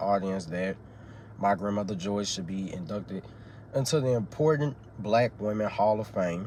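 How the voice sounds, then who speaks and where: This man speaks with an American accent at a moderate pace. His pitch is fairly low and varies in an ordinary way. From Texas, Dallas. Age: 18. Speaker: student. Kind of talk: class speech. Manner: halting, many fillers.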